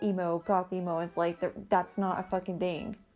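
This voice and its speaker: A woman speaks at a medium pitch and a moderate pace. Music plays in the background. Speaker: goth vlogger. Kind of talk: casual talk to camera. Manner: annoyed.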